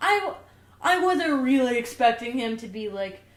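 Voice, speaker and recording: A woman's fairly high voice in an American accent with lively intonation, amid audible room echo and noticeable background noise. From US South. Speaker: podcast co-host. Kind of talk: casual chat. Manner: animated.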